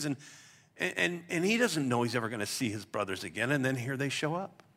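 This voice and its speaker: A man with a bright, sharp tone and vocal fry swings his pitch very widely on a very clean recording with a silent background. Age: 60s. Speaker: pastor. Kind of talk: sermon. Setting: church.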